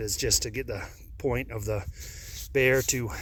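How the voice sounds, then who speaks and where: A man's medium-pitched voice, bright and sharp in tone, with ordinary pitch variation and vocal fry. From Downeast Maine. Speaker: registered hunting guide and trapper. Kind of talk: instructional talk to camera. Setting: outdoors.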